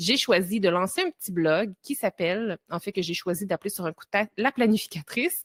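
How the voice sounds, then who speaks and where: Fairly quick delivery in a Quebec accent, with hardly any pauses, ordinary pitch variation, big swings in loudness, and a dry, close sound with no echo. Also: woman, medium pitch for a woman. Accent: Québécois. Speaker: time-management coach and entrepreneur. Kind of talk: podcast interview.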